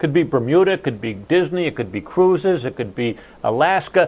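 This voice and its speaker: An unremarkable speaking voice with an American accent, lively intonation and a moderate pace. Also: man. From New Jersey. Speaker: sales and marketing speaker. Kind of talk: casual chat.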